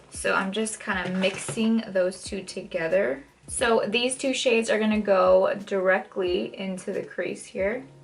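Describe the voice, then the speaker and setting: Noticeable background noise sits behind a woman who speaks with hardly any pauses. Her pitch variation is ordinary. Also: medium pitch for a woman. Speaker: makeup artist. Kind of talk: tutorial. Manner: casual, chatty.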